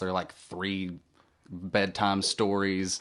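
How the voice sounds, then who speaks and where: A man talks in a Southern US accent with a fairly low pitch. His intonation is monotone and flat. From Tennessee. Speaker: musician and audiobook narrator. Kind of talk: casual interview chat. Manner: halting.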